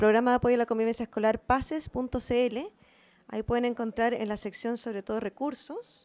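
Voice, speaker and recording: A woman with a normal speaking voice and a fairly high pitch talks at a moderate pace in fairly even intonation. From Chile, Valparaíso; Chile. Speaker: researcher; presenter. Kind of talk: conference talk. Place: meeting room. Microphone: handheld.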